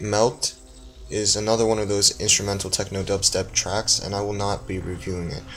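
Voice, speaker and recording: Music in the background beneath a man's fairly low-pitched voice. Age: student. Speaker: music reviewer. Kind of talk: casual video review. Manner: slow; halting, many fillers.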